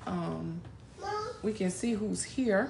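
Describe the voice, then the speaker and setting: Speaking very slowly, a woman is heard against noticeable background noise. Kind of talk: casual livestream chat. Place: home room. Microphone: phone near.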